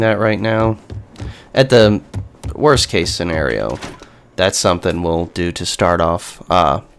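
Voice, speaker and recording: Background noise is noticeable here. The speaker's intonation rises and falls in a lively way. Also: man. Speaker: gaming streamer. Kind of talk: let's play commentary.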